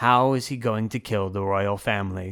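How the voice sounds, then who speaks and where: On a very clean recording with a silent background, a man uses a robotic, put-on character voice at a fairly low pitch and a moderate pace. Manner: flat, expressionless.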